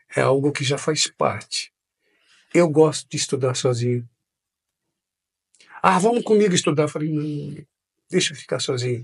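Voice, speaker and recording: A somewhat breathy man's voice, fairly high in pitch, at a moderate pace with ordinary pitch variation and long, frequent pauses. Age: 50s. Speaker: pastor. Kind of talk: interview.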